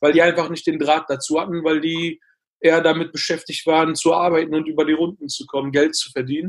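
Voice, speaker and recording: Speaking at a very fast pace, a man uses a fairly high pitch and a monotone, flat intonation. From Ruhr area, Germany (Bottrop). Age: 20s. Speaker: actor. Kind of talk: interview.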